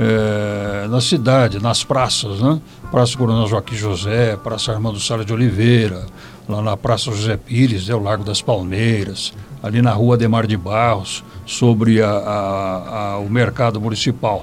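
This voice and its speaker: Amid noticeable background noise, a man speaks fairly slowly at a fairly low pitch with fairly even intonation. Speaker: retired radio broadcaster. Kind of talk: interview. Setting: recorded internet radio show.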